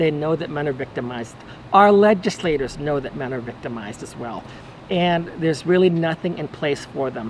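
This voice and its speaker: A man with an American accent talks at a fairly quick pace, fairly high in pitch with lively intonation. Noticeable background noise comes through. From Texas. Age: 60s. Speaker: advocate for divorced men. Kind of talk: personal monologue video. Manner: halting, with repeated words and fillers.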